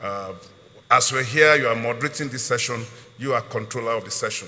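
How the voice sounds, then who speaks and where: Noticeable background noise behind a man talking fairly quickly, intonation fairly even. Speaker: customs chief. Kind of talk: panel discussion.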